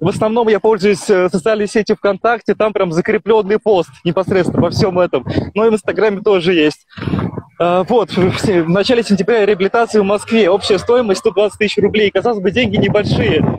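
This man has a high pitch and very even loudness, speaking at a moderate pace with fairly even intonation, in a dry sound with no echo and light background noise. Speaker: long-distance walker and charity fundraiser. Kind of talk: live interview. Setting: outdoors, walking by a highway on a mobile video call. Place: open country. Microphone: 3G mobile connection; phone near.

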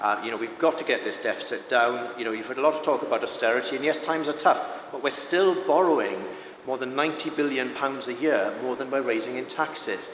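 Speaking fairly quickly in a South Wales accent, a man with a fairly high pitch and ordinary pitch variation is heard with audible room echo and light background noise. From South Wales, Swansea Valley. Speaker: parliamentary candidate; candidate. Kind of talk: political debate. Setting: stage with live audience, broadcast on radio. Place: stage. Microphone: podium.

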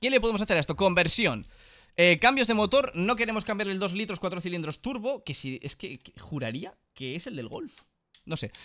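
A man's high, raised and projected voice, bright and sharp in tone, animated, with very wide pitch swings, big shifts in loudness, a moderate pace and a quiet background. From Spain. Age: 30s. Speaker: gaming YouTuber; gaming streamer. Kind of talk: casual gameplay commentary.

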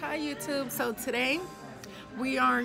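A woman speaks with music in the background. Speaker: vlogger on a date. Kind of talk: casual vlog chat. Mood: playful, laughing. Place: bar. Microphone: phone near.

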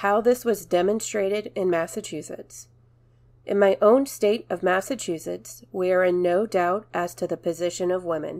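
Speaking with a plain, everyday voice, this woman keeps a moderate pace, a medium pitch and ordinary pitch variation. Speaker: narrator reading a historical speech. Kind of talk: reading aloud a 1910 anti-suffrage speech, formal oratory.

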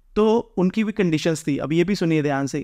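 A man speaks at a high pitch and a moderate pace, with ordinary pitch variation. The background is quiet. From India. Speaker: vlogger. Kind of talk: informal explainer vlog. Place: home room.

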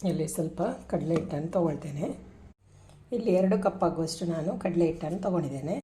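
Somewhat breathy, a woman speaks with a dark, mellow tone and fairly low pitch. Her intonation is fairly even, and the room echo is audible. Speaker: cooking vlogger. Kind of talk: cooking tutorial.

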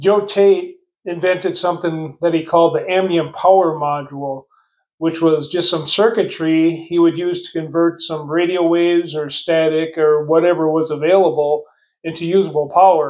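Fairly even intonation marks a man's high-pitched voice at a moderate pace. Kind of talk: casual explanatory talk. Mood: relaxed, amused. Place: home room. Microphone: phone near.

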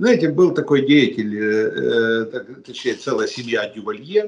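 A man speaks with pitch that swings very widely. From Ukraine. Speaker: political analyst. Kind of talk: analytical interview. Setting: remote video call. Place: home room. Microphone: video call.

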